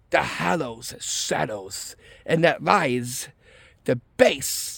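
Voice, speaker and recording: The pitch of this man's voice swings very widely. He speaks at a very slow pace. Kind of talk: casual craft tutorial talk to camera. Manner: casual, slightly hesitant.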